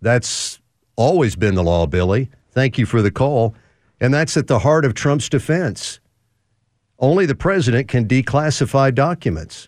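A man talks at a moderate pace in a plain, everyday voice, his pitch medium with lively intonation. His loudness stays very even throughout. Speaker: talk radio host. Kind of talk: call-in talk radio. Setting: studio.

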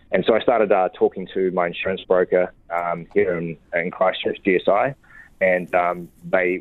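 A man is speaking here. He has a New Zealand accent. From New Zealand, Wellington. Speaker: orchard owner. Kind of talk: interview.

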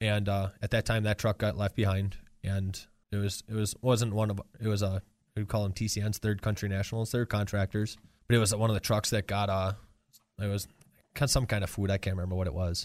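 At a very fast pace, the voice runs in a monotone with flat intonation, on a very clean recording with a silent background. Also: man, fairly low pitch for a man. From Wisconsin, Marinette. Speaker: war veteran. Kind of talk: interview. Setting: studio.

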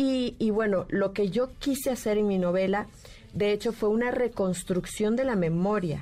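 A woman speaks at a fairly slow pace, her pitch medium with ordinary variation. Hers is an unremarkable speaking voice, and its loudness stays very even. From Nicaragua. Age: 50s. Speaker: writer. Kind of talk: radio interview. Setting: radio studio.

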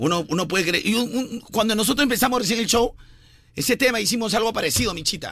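This man speaks at a very fast pace in a high voice with a bright, sharp tone, ordinary pitch variation, and very even loudness. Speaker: radio morning show host. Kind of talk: casual comedic morning radio chat.

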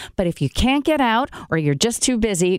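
A woman's pitch swings very widely in a dry, close recording with no echo, very clean and with a silent background. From Brazil. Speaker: radio host. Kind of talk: radio interview; promotional announcement. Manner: animated.

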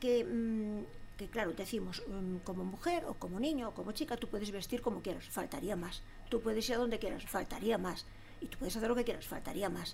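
With audible room echo around her, a woman speaks at a moderate pace in a fairly high voice with vocal fry and lively intonation. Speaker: former local politician. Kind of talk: casual chat. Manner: halting.

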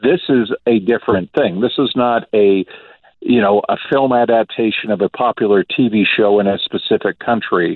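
He has an unremarkable speaking voice. The man's pitch is medium. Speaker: film critic. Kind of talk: casual chat.

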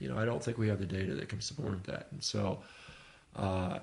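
Lively intonation and vocal fry mark this man's fairly low-pitched voice. His pace is fairly quick. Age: 50s. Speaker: physician and rowing athlete. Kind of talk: casual interview. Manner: casual, frequent fillers.

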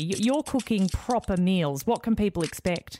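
In an ordinary speaking voice, a woman talks at medium pitch and a moderate pace, her intonation lively. The sound is dry and close with no echo, a very clean recording with a silent background. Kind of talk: radio DJ patter: a polished, station-ID-laden sell for DAB Plus and the station. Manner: smooth, bright and upbeat, with a warm, promotional, rhythmic delivery.

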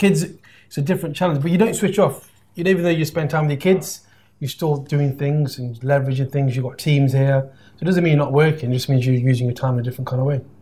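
Talking at a very fast pace in a British accent, a man has a fairly high, somewhat breathy voice with a dark, mellow tone and ordinary pitch variation. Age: 40s. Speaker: podcast host and business mentor. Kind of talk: casual interview. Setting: live stream.

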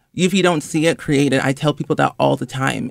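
On a very clean recording with a silent background and a dry, close sound with no echo, a man speaks in a fairly high pitch with monotone, flat intonation. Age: 20s. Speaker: influencer and gaming content creator. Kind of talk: interview.

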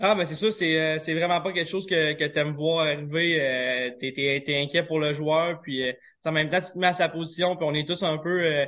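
This man has an ordinary speaking voice, fairly high in pitch. His intonation stays fairly even at a moderate pace. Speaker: professional hockey player. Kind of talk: interview.

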